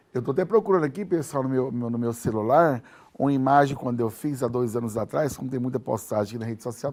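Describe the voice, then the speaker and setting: A man's medium-pitched voice at a very fast pace. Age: 50s. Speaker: TV show host. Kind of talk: TV interview.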